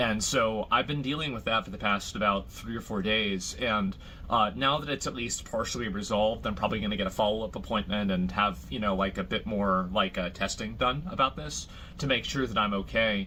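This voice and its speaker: With a bright, sharp tone and some vocal fry, a man speaks at a fairly quick pace, his fairly low pitch showing ordinary variation. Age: 30s. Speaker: live streamer. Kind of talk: casual chat. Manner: halting.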